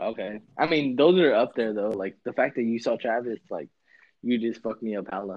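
A man with an American accent talks at a fairly quick pace in an ordinary speaking voice, his pitch medium. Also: ordinary pitch variation. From California, small town. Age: 20s. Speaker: sneaker buyer and concertgoer. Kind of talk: casual chat. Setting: call.

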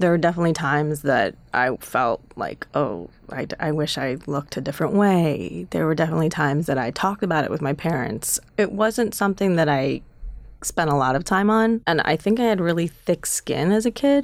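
Very deep, low-pitched female voice with a Chicago accent, lively intonation and a fairly quick pace. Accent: US Midwest (Chicago area). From Chicago suburbs, US Midwest. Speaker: documentary filmmaker and actor. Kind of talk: interview conversation.

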